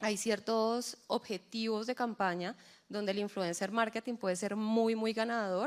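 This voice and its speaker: The recording is very clean with a silent background, and the woman speaking has a fairly high pitch. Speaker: agency executive. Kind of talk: live panel discussion. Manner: soft-spoken.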